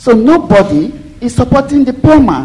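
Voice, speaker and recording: The speaker's pitch swings very widely at a moderate pace over noticeable background noise. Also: woman. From Nigeria. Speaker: audience member asking question. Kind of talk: audience question. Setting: lecture hall with audience.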